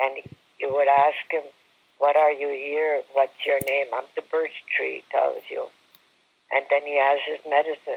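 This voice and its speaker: Speaking with a Canadian accent at a fairly slow pace, the voice leaves long, frequent pauses. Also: man. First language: Algonquin. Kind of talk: personal storytelling. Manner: halting.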